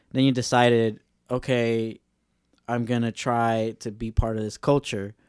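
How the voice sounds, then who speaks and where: A plain, everyday voice speaks at a fairly slow pace on a very clean recording with a silent background and a dry, close sound with no echo. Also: man. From Los Angeles, Mexican-American. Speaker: podcast host, bike mechanic. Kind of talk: casual chat. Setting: studio.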